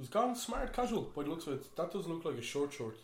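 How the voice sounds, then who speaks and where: Somewhat breathy, a man with an Irish accent speaks fairly quickly with ordinary pitch variation amid audible room echo. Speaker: football podcast host. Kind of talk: casual chat.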